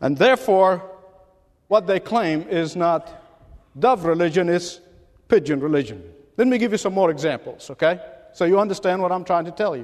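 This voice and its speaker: A man with a high-pitched voice talks at a moderate pace with lively intonation. He leaves long, frequent pauses. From Middle East. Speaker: pastor. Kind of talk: sermon. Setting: church.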